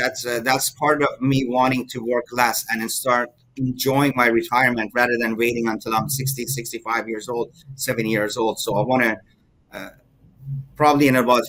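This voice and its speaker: At a fairly quick pace, a man speaks in a bright, sharp tone of medium pitch with fairly even intonation. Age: 50s. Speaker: mortgage broker. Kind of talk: interview. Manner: halting, many fillers.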